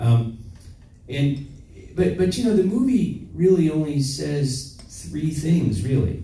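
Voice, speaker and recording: The speech is very slow with lively intonation. Noticeable background noise and audible room echo are present. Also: man. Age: 60s. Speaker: physician. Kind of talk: interview. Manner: halting.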